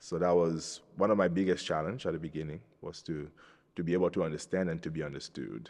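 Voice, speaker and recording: A man speaks at a very fast pace with a very deep, low pitch. His voice has vocal fry and ordinary pitch variation. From Cameroon. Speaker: Capuchin friar, soon-to-be priest. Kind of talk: interview testimony. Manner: hesitant, with fillers and repeated words.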